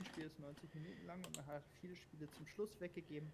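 With a somewhat breathy voice, a man speaks very fast. His pitch variation is ordinary. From Berlin, Germany. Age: 20s. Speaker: football fan guest. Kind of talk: casual chat. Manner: halting, many fillers.

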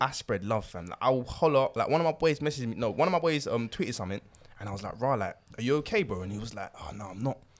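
A man speaks with a London accent at a very fast pace. His pitch swings very widely. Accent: Nigerian-heritage London English. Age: 20s. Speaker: podcast co-host. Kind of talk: casual chat.

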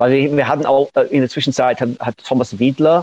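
The speaker is a man in an English accent. He moves at a moderate pace. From northern England, Manchester outskirts. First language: English (speaking German). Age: 60s. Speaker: punk-era music figure and producer. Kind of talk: interview. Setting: remote call. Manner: halting.

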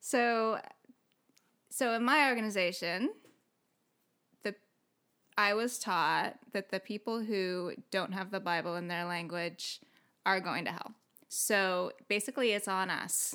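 A woman with a Californian accent at medium pitch, fairly slow with long, frequent pauses and ordinary pitch variation. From US West Coast, San Diego. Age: 30s. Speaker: former evangelical missionary. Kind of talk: casual interview chat.

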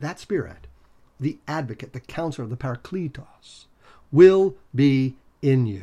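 Somewhat breathy and dark, mellow in tone, a man speaks at a fairly slow pace with a fairly high pitch. His pitch varies in an ordinary way, while his loudness swings widely. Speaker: Bible teacher. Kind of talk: lecture. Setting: home office.

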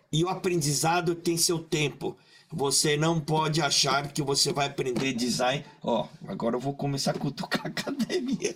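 A man at a fairly high pitch and a moderate pace, with ordinary pitch variation, very even loudness and noticeable background noise. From Brazil, Maringá (Paraná), Japanese-Brazilian community. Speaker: creative director. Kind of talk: casual chat. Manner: halting.

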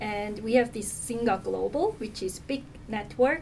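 Someone with a Korean accent speaks at a moderate pace with ordinary pitch variation over noticeable background noise. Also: woman. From South Korea. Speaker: nonprofit communications manager. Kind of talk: interview.

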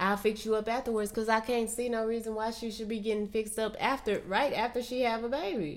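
Her fairly high-pitched voice carries a woman's speech along at a moderate pace. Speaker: podcast co-host. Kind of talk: casual chat. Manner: soft-spoken.

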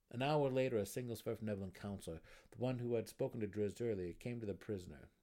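This unforced reading voice shows ordinary pitch variation.

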